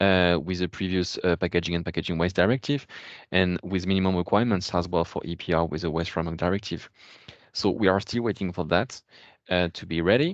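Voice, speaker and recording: A man with a French accent and a very deep, low pitch, at a very fast pace with fairly even intonation, dry and close with no echo over a quiet background. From France. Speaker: policy expert. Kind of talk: webinar Q&A answer. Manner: halting, many fillers.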